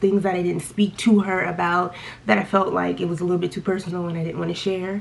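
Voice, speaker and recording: The speaker talks at a fairly quick pace. There is noticeable background noise. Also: woman. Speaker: beauty vlogger. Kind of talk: casual chat. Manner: animated; stuttering.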